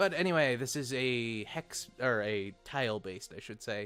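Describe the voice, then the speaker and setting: Medium-pitched male voice with lively intonation, music in the background. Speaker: video game let's player. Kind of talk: casual gameplay commentary.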